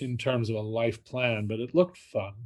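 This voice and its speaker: A man with a New York accent. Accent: New York area American. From New Jersey (Fort Lee). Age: 60s. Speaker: film critic and author. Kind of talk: interview. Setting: podcast interview.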